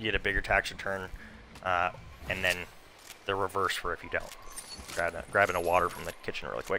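Noticeable background noise sits behind a man with a very deep, low pitch and monotone, flat intonation. He talks at a very fast pace yet leaves long, frequent pauses. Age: 30s. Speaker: gaming streamer. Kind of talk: casual live stream chat while gaming.

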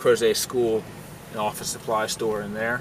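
A man talks with a fairly low pitch and ordinary pitch variation. The sound is dry with no echo, and there is noticeable background noise. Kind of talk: casual tour commentary. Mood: friendly, fond of town. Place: car. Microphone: phone near.

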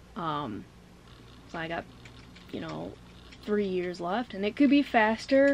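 A woman's voice at a moderate pace over light background noise. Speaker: vlogger. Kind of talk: casual vlog chat. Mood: relaxed, a bit reflective. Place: home room.

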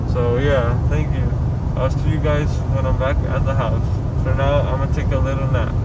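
Mumbling from a man at a moderate pace, under loud background noise. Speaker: vlogger after dental surgery. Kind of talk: casual vlog chat. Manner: drowsy, numb-mouthed post-surgery mumble. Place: car. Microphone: phone near.

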